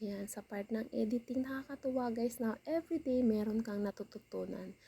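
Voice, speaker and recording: Soft-spoken delivery at a moderate pace. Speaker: vlogger. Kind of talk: casual vlog voiceover. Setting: at home.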